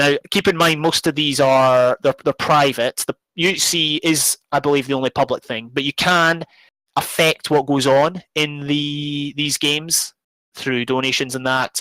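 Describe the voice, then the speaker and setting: A man with a Scottish accent and a bright, sharp, fairly high voice, his intonation fairly even and his pace fairly slow, in a dry, close sound with no echo. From Scotland. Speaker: YouTuber and gamer. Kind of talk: live stream charity talk. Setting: live stream. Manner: hesitant, many fillers.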